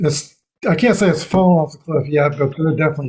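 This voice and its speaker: The man's voice is somewhat breathy. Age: 60s. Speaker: NFL picks show host. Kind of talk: casual chat.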